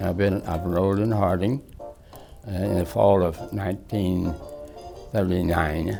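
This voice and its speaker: With music in the background, a man talks in a very deep, low pitch at a fairly slow pace, using ordinary pitch variation and long, frequent pauses. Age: 80s+. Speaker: university alumnus. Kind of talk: interview answer.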